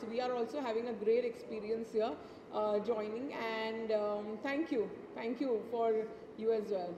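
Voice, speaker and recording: A woman speaks at a moderate pace with a fairly high pitch, and noticeable background noise can be heard. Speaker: brand representative. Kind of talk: event interview. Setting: live event. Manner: halting. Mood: pleased, gracious. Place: hall. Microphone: handheld.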